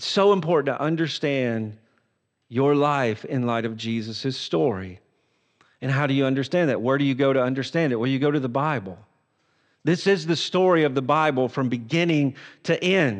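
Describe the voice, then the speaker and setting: A man with a plain, everyday voice, fairly high in pitch, with lively intonation at a moderate pace against a quiet background. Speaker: pastor. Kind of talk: sermon.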